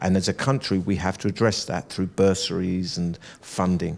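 Very deep and low, a man's voice moves at a moderate pace with fairly even intonation. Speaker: actor guest. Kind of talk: interview answer. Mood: earnest, thoughtful. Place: studio. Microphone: handheld.

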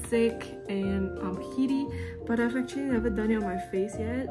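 A woman at a moderate pace over clear music in the background. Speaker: lifestyle vlogger. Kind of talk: casual vlog chat. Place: home room. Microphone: phone near.

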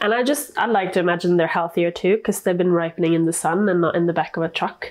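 Against a quiet background, a woman talks with ordinary pitch variation. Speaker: home cook vlogger. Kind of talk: casual cooking tutorial chat. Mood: light, playful, laughing. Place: kitchen. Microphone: lapel.

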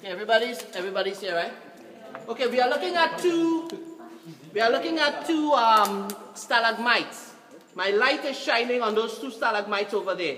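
A woman's lively intonation at a moderate pace, with audible room echo and light background noise. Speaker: cave tour guide. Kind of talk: guided tour talk. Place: tunnel cave. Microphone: phone near.

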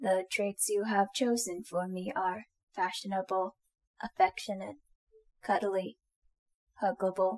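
A woman's put-on robotic character voice at medium pitch, fairly slow with long, frequent pauses. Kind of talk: audio roleplay. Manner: formal, mechanical.

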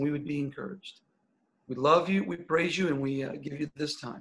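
A bright, sharp tone at a moderate pace with fairly even intonation. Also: man. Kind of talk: prayer and announcements. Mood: earnest, grateful, prayerful. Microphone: video call.

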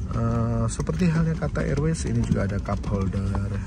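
Music plays in the background as a man talks at a moderate pace, with a dry sound and no echo. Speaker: travel vlogger. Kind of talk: casual vlog chat. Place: plane. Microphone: phone near.

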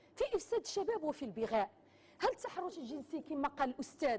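A woman's high-pitched voice. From Morocco. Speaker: lawyer. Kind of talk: TV panel debate. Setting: TV studio with audience. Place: studio. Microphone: lapel.

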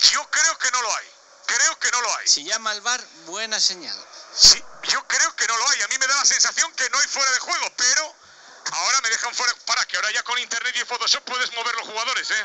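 A man speaks at a fairly quick pace in an extremely high pitch, with ordinary pitch variation and noticeable background noise. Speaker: sports commentator. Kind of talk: live sports commentary on a match, narrated as a fan. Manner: animated, tense and excitable, rapid-fire with repeated phrases; jokey, with quips mixed into the play-by-play.

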